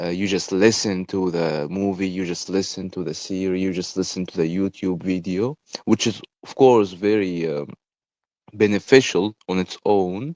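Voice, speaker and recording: A man's very deep, low voice with an Arabic accent, fairly even intonation and big swings in loudness, at a moderate pace, in a dry, close sound with no echo over a quiet background. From Egypt. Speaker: podcaster. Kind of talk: casual monologue. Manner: hesitant, many fillers.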